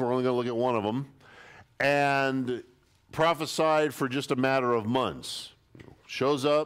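The background stays quiet while a man is speaking. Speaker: pastor. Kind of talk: sermon. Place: church.

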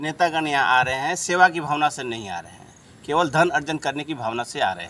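A man speaks here. His tone is bright and sharp. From Jharkhand, India (Chandil); Jharkhand. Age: 40s. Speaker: independent election candidate; election candidate. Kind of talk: press statement. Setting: press conference. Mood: critical, earnest political complaint. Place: street.

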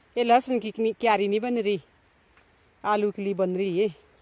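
At a moderate pace, a woman speaks at a medium pitch with fairly even intonation and a dark, mellow tone.

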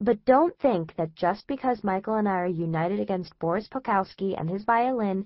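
The voice reads in an unforced way. Nothing about the delivery is strained.

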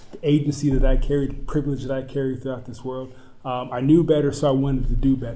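His pitch fairly high, a man speaks with monotone, flat intonation. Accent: American. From US, military family (North Carolina, Illinois). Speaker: school board candidate. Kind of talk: candidate forum answers. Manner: hesitant, many fillers. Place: meeting room. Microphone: camera far.

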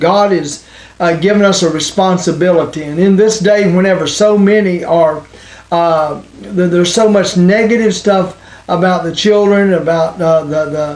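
With audible room echo, a man speaks at a high pitch and a moderate pace, his slightly mellow tone showing ordinary pitch variation.

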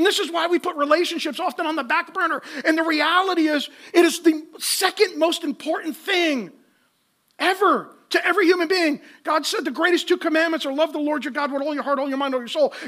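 At a fairly quick pace, a man speaks at an extremely high pitch in a bright, sharp tone, with ordinary pitch variation.

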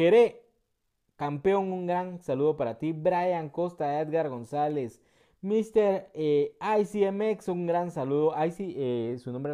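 A man talks very slowly in a dark, mellow tone, with ordinary pitch variation and big swings in loudness. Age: 30s. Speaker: gaming youtuber. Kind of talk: gameplay commentary.

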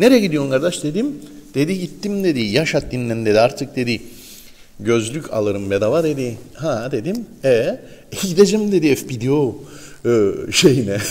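A man's pitch swings very widely as he speaks at moderate speed. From Northern Cyprus. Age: 50s. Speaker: morning show host. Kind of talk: morning show chat with ad reads. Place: studio. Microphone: lapel.

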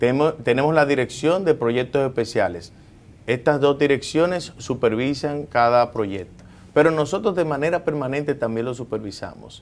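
A man with a fairly high pitch, speaking at a moderate pace with ordinary pitch variation. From Dominican Republic. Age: 40s. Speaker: government agency director and politician; politician. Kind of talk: TV interview. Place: office. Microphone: lapel.

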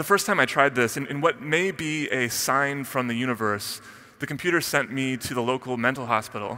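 A bright, sharp tone with ordinary pitch variation. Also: man. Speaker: conference speaker. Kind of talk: keynote talk. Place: stage. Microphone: headset.

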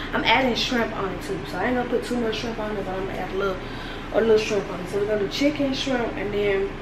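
Speaking at a very fast pace, a woman talks through noticeable background noise. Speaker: home cooking vlogger. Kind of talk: casual vlog chat. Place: kitchen. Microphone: phone near.

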